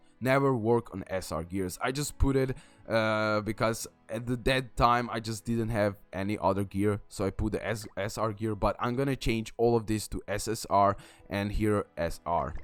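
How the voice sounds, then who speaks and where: A man with a non-native accent speaks in a fairly low voice with fairly even intonation while music plays in the background. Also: moderate pace. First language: not English. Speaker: gaming YouTuber. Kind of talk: game tutorial. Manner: halting, many fillers and restarts.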